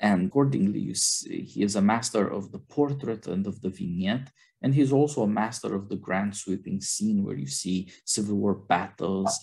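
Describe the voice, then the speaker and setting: This man has a fairly low, dark, mellow voice with vocal fry and ordinary pitch variation. He speaks with hardly any pauses against a quiet background. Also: moderate pace. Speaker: podcast host. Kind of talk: film discussion podcast. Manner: formal.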